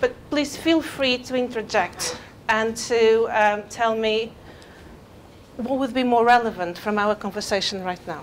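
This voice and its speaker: A woman with a fairly high voice and ordinary pitch variation talks at a fairly slow pace. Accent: non-native. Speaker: eating disorder clinician. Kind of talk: talk to an audience. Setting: venue with live audience and microphone. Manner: halting with fillers.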